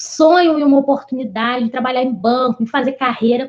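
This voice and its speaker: A woman's voice, high in pitch, with ordinary pitch variation. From Brazil, interior of Rio de Janeiro state. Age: 30s. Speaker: bank assistant manager. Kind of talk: interview.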